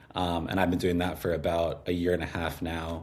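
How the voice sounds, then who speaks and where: In a room with audible echo, a man with a very deep, low pitch talks at a fairly quick pace in a somewhat breathy, monotone, flat delivery. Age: 20s. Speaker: copywriter and musician. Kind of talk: casual interview conversation. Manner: many fillers, hesitant.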